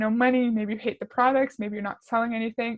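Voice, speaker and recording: A woman with a fairly high pitch talks in a monotone, flat way, somewhat breathy. The sound is dry and close with no echo, over a quiet background. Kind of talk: commentary video reacting to a recorded training. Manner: conversational, critical.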